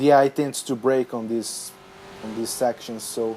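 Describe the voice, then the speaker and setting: With noticeable background noise behind him, a male speaker talks at a medium pitch. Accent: non-native. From Brazil. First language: Portuguese. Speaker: gaming youtuber. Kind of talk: gameplay commentary. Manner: halting.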